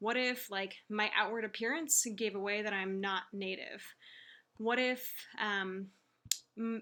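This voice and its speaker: A woman speaks with a Californian accent. Her tone is bright and sharp, and her intonation fairly even. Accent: General American, California. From US West Coast, Silicon Valley. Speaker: teacher. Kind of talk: reading aloud. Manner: hesitant, many fillers.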